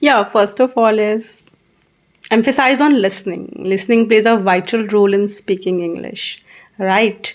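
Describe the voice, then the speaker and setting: A woman speaks with an Indian accent at a fairly high pitch. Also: ordinary pitch variation, moderate pace. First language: Hindi. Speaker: English teacher. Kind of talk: interview.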